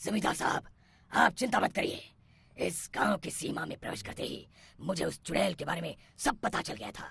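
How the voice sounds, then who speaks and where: A man puts on a raspy, cartoonish character voice, high-pitched and fairly quick, with very wide pitch swings and big changes in loudness. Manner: authoritative.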